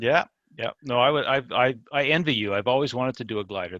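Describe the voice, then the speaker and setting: A man speaks very fast at a medium pitch. The sound is dry and close, with no echo. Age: 60s. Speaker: scale model hobbyist. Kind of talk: casual interview chat. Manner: hesitant, repeats words.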